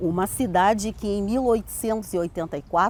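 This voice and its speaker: A woman's dark, mellow tone at medium pitch and a fairly slow pace. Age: 70s. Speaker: local historian and community elder. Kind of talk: interview testimony. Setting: outdoors in a town square. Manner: measured, with hesitations.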